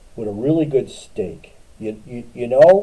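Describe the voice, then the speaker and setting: Lively in intonation, this man has a fairly high pitch, a dark, mellow tone and a somewhat breathy quality. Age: 60s. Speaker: streamer in recovery. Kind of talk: casual livestream talk. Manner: halting, repetitive.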